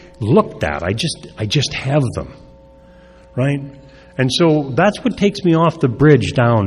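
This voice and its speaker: Through noticeable background noise and audible room echo, a man is heard. He speaks at a fairly slow pace. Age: 70s. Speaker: recovery speaker. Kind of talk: recovery talk. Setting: stage with audience. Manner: halting.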